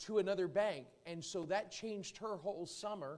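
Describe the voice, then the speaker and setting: A man's voice at a moderate pace. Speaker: visiting preacher. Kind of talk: sermon. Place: church.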